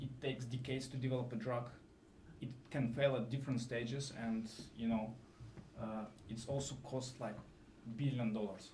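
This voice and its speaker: A man with a non-native accent and a medium pitch speaks at a moderate pace in a monotone, flat intonation, leaving long, frequent pauses amid audible room echo. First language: not English. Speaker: AI scientist in drug discovery. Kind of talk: conference talk. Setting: live event with audience. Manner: halting, many fillers.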